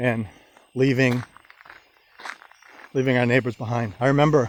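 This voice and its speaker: Here a man speaks with an American accent at a moderate pace. His pitch is medium and his intonation fairly even. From Maine, US (Old Orchard Beach). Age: 60s. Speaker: vlogger. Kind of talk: testimony. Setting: outdoors. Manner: halting.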